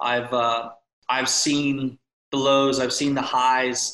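A man with an American accent speaks at a medium pitch in a bright, sharp tone. His delivery is very slow and monotone, with flat intonation. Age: 30s. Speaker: real estate coach and video marketer. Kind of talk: casual interview chat.

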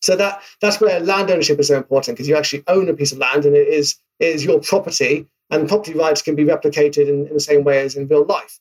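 At a very fast pace, a man with a British accent talks in a fairly high voice with ordinary pitch variation. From UK. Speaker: marketing executive. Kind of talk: casual interview. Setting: remote call. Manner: animated.

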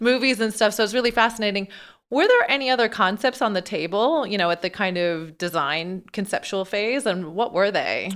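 Using a plain, everyday voice, a woman speaks at a fairly quick pace in a medium pitch with ordinary pitch variation. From Newfoundland, Canada. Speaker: podcast co-host, ultracyclist and PR specialist. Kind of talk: casual interview chat.

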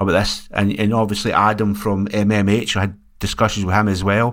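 A man with a fairly low voice talks fairly fast. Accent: Scottish. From Scotland. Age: 60s. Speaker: music label owner. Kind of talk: casual chat.

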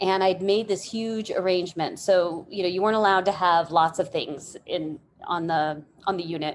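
This woman has a medium-pitched voice with fairly even intonation. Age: 40s. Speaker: nonprofit executive director and arts therapist. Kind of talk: casual interview chat.

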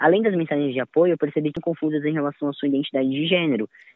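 This is an ordinary speaking voice from a man. His pitch is fairly high, with ordinary variation. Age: 20s. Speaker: music educator and violinist. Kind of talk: testimony.

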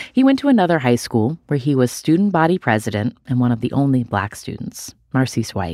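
A woman with an American accent speaks at a moderate pace in a very deep, low pitch with very wide pitch swings and a dark, mellow tone. The recording is very clean, with a silent background. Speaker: podcast host. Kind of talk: conversational interview.

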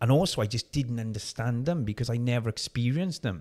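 A man speaks with a South Wales accent. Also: very clean recording, silent background. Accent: South Wales valleys. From South Wales, Merthyr Tydfil. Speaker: personal trainer and former bodybuilder. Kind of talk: interview conversation.

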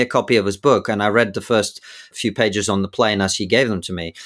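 A man with an English accent talks at a fairly quick pace. The recording is very clean, with a silent background. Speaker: podcast host and comedian. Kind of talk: interview, debate-style discussion.

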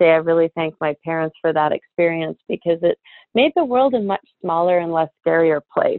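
At a moderate pace, a woman talks in a normal speaking voice with a fairly low pitch. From Canada, with childhood years in Europe. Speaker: scientist and beauty company founder. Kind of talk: interview.

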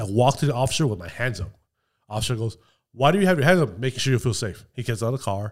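Somewhat breathy speech comes at a very fast pace with lively intonation on a very clean recording with a silent background. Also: man, medium pitch for a man. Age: 40s. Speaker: gun store manager. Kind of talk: casual chat.

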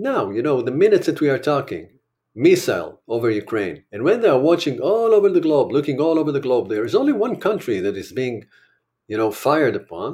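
With an Israeli accent and a dark, mellow tone, the voice moves at a fairly quick pace through very wide pitch swings and vocal fry, in a very clean recording with a silent background. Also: man, fairly high pitch for a man. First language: Hebrew. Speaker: war correspondent and documentary filmmaker. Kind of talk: interview.

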